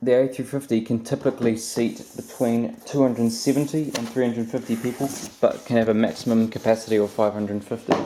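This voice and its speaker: With noticeable background noise behind him, a man rattles along at a very fast pace with hardly any pauses. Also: medium pitch for a man, fairly even intonation. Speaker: aviation model reviewer. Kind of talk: unboxing review. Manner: halting, many fillers and stutters; casual.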